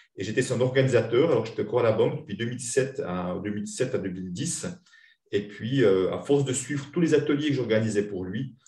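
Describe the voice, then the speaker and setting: This man has a Swiss accent and a dark, mellow tone that is somewhat breathy. His intonation is lively and his pace fairly quick. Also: medium pitch for a man. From Switzerland. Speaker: money-relationship coach and trainer. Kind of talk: interview.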